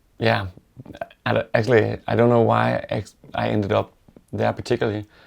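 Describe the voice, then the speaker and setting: A man with a Danish accent speaks at a moderate pace, his pitch fairly low with ordinary variation. The recording is very clean, with a silent background. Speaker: woodworker. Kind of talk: interview. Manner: halting, many fillers.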